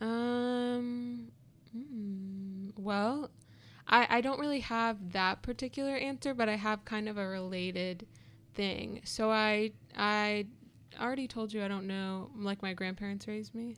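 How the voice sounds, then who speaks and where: A woman with a plain, everyday voice speaks at a fairly slow pace and a fairly high pitch, with ordinary pitch variation, in a very clean recording with a silent background. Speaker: podcast guest. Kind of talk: casual chat.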